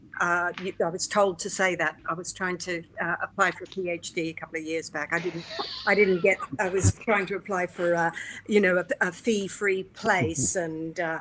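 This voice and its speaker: A woman's fairly low voice, fairly even intonation, moderate pace, noticeable background noise. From Australia, Brisbane. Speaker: clown performer and teacher. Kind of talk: panel discussion. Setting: online video call.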